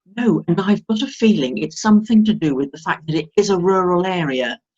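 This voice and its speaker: With a southern English accent, a woman speaks at medium pitch and a moderate pace, her intonation lively and the sound dry and close with no echo. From southern England, Hampshire. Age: 70s. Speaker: retired former teacher. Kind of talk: interview.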